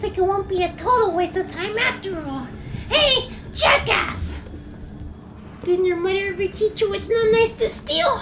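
Over clear background noise, a put-on character voice moves at a moderate pace with long, frequent pauses. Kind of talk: amateur fan dub, comic overacting. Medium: fan dub. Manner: cocky, mocking.

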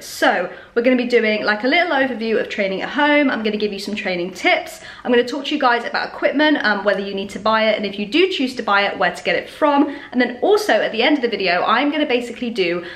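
Speaking at a very fast pace with hardly any pauses, a woman uses a high pitch amid audible room echo. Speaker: fitness vlogger. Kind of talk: casual vlog chat. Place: kitchen. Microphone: phone near.

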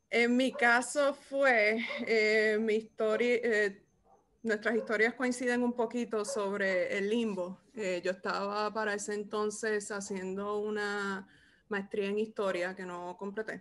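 A woman's voice at a very slow pace, with fairly even intonation. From Puerto Rico. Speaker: podcast host, archivist; podcast co-host. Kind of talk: casual interview. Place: home room. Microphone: video call.

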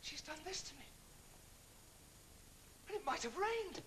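Putting on a character voice, a man speaks at a fairly slow pace with extremely high pitch, big pitch swings and a fairly bright tone.

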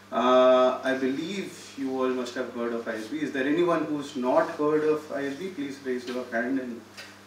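In an Indian accent, a man speaks at medium pitch with fairly even intonation, with audible room echo and light background noise. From India, Delhi. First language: Hindi. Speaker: startup incubator CEO; guest. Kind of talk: talk to students. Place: hall. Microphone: podium.

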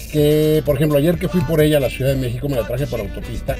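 Over clear background music, a man talks at a very fast pace. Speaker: car reviewer, radio host. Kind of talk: commentary while test driving. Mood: enthusiastic. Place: car.

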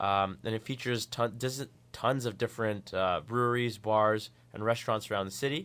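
Over a very clean recording with a silent background, a man speaks at a moderate pace and medium pitch with fairly even intonation, an ordinary speaking voice. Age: 20s. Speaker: radio co-host. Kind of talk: casual radio chat. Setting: radio studio.

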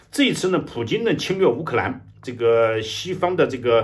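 A man talks at a moderate pace with vocal fry and very wide pitch swings. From China. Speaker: political commentator. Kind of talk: news commentary monologue. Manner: halting, many fillers. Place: home room. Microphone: webcam.

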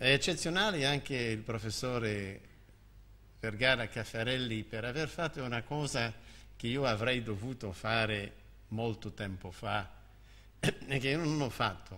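A man talks fairly slowly, leaving long, frequent pauses. His tone is bright and sharp, with ordinary pitch variation. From Canada. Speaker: history of science professor. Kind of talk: formal speech. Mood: warm, lightly humorous. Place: hall. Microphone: podium.

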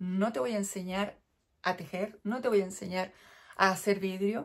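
A woman at a fairly slow pace against a quiet background. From Chile. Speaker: knitting vlogger; crafting podcaster. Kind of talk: casual chat. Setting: indoors at home. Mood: chatty, briefly wistful. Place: home room. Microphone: phone near.

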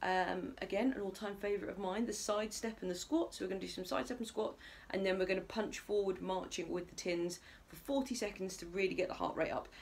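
Ordinary pitch variation marks a woman's speech, which moves at a fairly quick pace. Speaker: fitness instructor. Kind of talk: workout instruction. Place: home room. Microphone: camera far.

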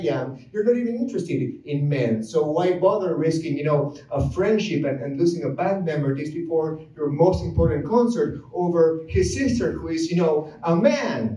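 A man talks in a high voice with very wide pitch swings. Audible room echo surrounds him. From Argentina. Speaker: musician, comedian, storyteller. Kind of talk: live comedic storytelling. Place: stage.

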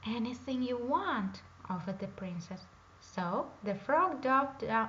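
The words are read aloud plainly. Nothing more is done with them.

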